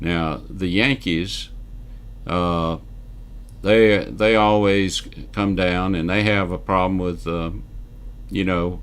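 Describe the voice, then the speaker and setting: A man with a Southern US accent speaks very slowly in a very deep, low voice. His intonation is monotone and flat, with long, frequent pauses. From US South, Northwest Georgia. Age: 70s. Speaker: real estate newsletter publisher and video host. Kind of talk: casual monologue to camera.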